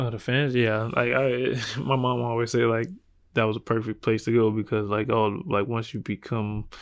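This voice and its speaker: A man with a South Carolina accent, medium pitch, moderate pace and fairly even intonation. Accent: Southern US (South Carolina). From US South, South Carolina. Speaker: professional basketball player. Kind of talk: interview. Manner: casual, filler-heavy.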